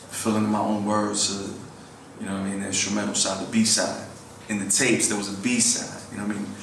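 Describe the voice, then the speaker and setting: A man's fairly low, fairly quick speech with audible room echo and noticeable background noise. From New York (Queens). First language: Spanish. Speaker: rapper. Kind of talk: interview. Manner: casual, filler-heavy.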